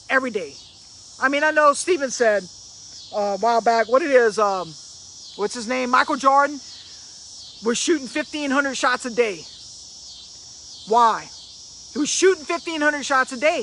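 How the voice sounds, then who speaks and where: A man's raised, projected voice, extremely high-pitched, with lively intonation and long, frequent pauses amid noticeable background noise. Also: moderate pace. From Louisiana. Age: 50s. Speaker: motivational speaker. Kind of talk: motivational live stream talk.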